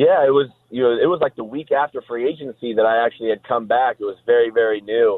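A man with an American accent speaks at a very fast pace with hardly any pauses, his medium pitch showing ordinary variation. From Nebraska, Omaha. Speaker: professional football player. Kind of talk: casual interview. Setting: phone call.

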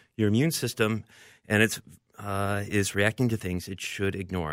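A man with an unremarkable speaking voice and a fairly low pitch talks at a fairly quick pace on a very clean recording with a silent background. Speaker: allergy doctor. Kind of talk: medical interview.

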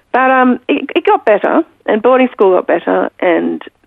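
A woman speaks with an Australian accent. Her pitch swings very widely. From Pakistan and Australia. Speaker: author. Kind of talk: interview. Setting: remote from home.

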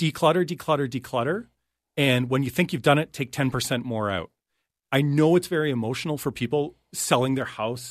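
An unremarkable speaking voice from a man with a Canadian accent, medium in pitch with ordinary pitch variation, moving at a moderate pace over a quiet background. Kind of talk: casual chat. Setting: studio.

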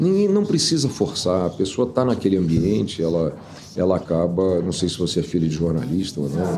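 Amid noticeable background noise and audible room echo, a man with a very deep, low pitch speaks at a fairly quick pace with ordinary pitch variation. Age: 70s. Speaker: former businessman. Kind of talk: interview.

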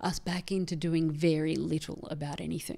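A woman in an Australian accent keeps fairly even intonation, recorded very cleanly against a silent background. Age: 40s. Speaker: feminist theologian. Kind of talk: casual chat. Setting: studio.

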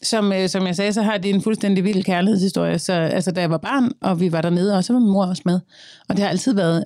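A woman with a dark, mellow tone at a medium pitch talks at a fairly quick pace, her loudness very even and her intonation fairly even, on a very clean recording with a silent background. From Denmark, Copenhagen (Østerbro). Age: 30s. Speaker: singer and social media creator. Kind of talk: interview, personal conversation.

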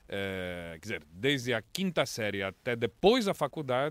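A man's medium-pitched voice in a very clean recording with a silent background, dry and close with no echo. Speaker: foreign correspondent journalist. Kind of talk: casual interview.

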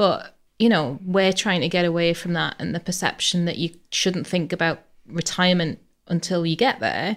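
On a very clean recording with a silent background, a woman with a plain, everyday voice speaks at a moderate pace and a fairly low pitch, with ordinary pitch variation. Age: 40s. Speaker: pensions training manager. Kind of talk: casual chat.

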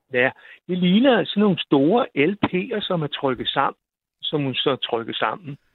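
A man talks at a fairly slow pace in a high pitch. His voice swings very widely up and down. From Zealand, Denmark (near Roskilde). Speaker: radio caller. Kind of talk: storytelling.

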